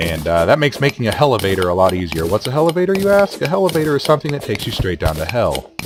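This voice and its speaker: Over music in the background, a man at medium pitch races along at a very fast pace with hardly any pauses and very wide pitch swings. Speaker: video game let's player. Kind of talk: gameplay commentary. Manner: casual, joking; hesitant with fillers.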